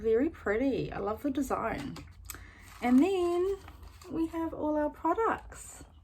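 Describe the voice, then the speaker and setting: Very slowly, a woman talks in a high pitch that swings very widely, with noticeable noise behind her. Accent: New Zealand. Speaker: beauty YouTuber. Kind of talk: product unboxing review. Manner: little lip movement, slightly impeded; casual with many fillers.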